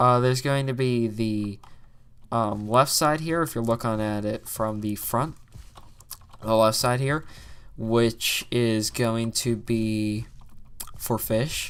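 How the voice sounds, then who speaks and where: On a very clean recording with a silent background, a man at medium pitch speaks at a very slow pace with fairly even intonation and long, frequent pauses. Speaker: gaming youtuber. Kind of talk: gameplay commentary. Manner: hesitant, many fillers.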